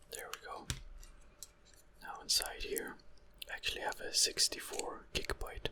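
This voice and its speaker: Whispering at a moderate pace, a man leaves long, frequent pauses, his loudness swinging widely over noticeable background noise. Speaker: ASMR creator. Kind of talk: ASMR whispered assembly tutorial. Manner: whispered.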